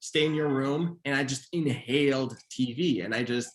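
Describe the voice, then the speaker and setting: Pitch variation stays ordinary throughout. The speaker is a man. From Montreal, Canada. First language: Haitian Creole. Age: 30s. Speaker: author and screenwriter. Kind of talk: author interview. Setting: virtual event.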